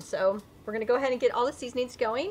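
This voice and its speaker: A woman's high voice at a moderate pace, with very wide pitch swings over light background noise. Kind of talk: cooking tutorial. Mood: cheerful, a bit giggly. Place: garden.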